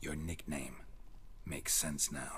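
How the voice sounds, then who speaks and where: The speaker uses a put-on character voice. Clear background noise is present. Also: man. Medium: video game. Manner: terse, deadpan.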